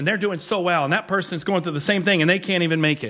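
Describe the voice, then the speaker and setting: A bright, sharp, animated tone at a very fast pace, with ordinary pitch variation. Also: man. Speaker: pastor. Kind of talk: sermon. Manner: fast, clipped words when excited.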